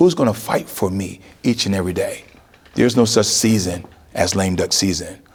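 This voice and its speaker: With noticeable background noise, a man with an American accent speaks at a moderate pace in an animated tone with lively intonation. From New York. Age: 60s. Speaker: politician. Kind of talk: interview.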